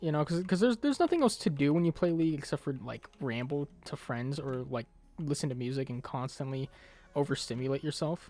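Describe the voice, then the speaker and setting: A man talks at a fairly quick pace with a fairly high pitch. His pitch varies in an ordinary way, and music plays in the background. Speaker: gaming youtuber. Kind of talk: casual gameplay commentary. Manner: halting, repeats words.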